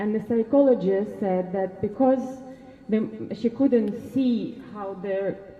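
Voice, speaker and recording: Speaking with a Russian accent, a woman uses ordinary pitch variation over noticeable background noise. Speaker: parent speaking at a protest. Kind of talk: public speech at a protest. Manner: halting.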